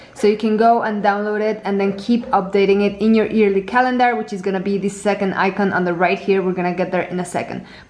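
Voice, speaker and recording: A woman speaks very fast with hardly any pauses, in a monotone, flat intonation. Noticeable background noise is present. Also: medium pitch for a woman. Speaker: planner designer and tutorial creator. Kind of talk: product tutorial.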